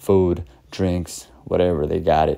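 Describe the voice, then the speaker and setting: Dark, mellow tone with fairly even intonation. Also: man. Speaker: vlogger. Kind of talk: casual vlog chat. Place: street. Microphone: phone near.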